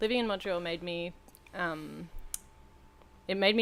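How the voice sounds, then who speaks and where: A woman speaks at a moderate pace. Her voice sits fairly low in pitch. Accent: Australian. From Western Australia, Perth. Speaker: podcast co-host. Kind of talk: casual chat. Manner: animated.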